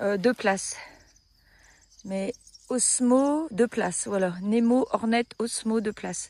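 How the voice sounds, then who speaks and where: A woman's fairly high, dark and mellow voice at a very slow pace, with long, frequent pauses and ordinary pitch variation. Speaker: hiking vlogger. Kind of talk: casual vlog narration. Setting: outdoors. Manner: soft-spoken.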